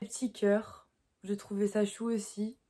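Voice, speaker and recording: A woman talks at a moderate pace and medium pitch. Her intonation is monotone and flat. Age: young. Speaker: horse rider. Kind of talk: casual talk to camera.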